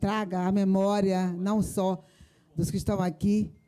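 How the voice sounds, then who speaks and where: Her voice is dark and mellow, pitched at a medium level for a woman, delivered in a monotone, flat intonation. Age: 70s. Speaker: victim's mother and activist. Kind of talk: public debate remarks. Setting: theater with audience.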